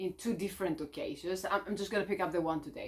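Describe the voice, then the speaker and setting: Medium pitch from a woman. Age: 30s. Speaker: life coach. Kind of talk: motivational talk to camera. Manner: spontaneous, unscripted.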